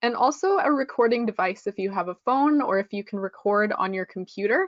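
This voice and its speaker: A woman with a Canadian accent and an unremarkable speaking voice talks at a moderate pace with lively intonation. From western Canada (Regina, Saskatchewan). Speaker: English test prep instructor. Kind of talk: webinar lecture. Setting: online webinar.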